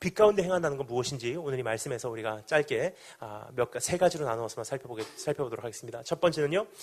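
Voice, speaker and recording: Talking at a very fast pace with hardly any pauses, a man uses lively intonation. His pitch is fairly high. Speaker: pastor. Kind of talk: sermon.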